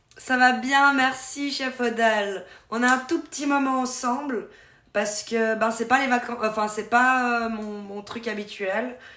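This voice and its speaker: A woman speaks at a very slow pace with a high pitch and a bright, sharp tone. Audible room echo surrounds her voice. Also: fairly even intonation. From Switzerland, canton of Vaud. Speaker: streamer. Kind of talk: casual live-stream chat. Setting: live stream.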